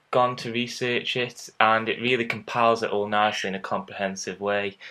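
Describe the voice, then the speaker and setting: Bright and sharp in tone, a man talks at a moderate pace in a very clean recording with a silent background. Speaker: podcast host. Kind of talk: casual interview.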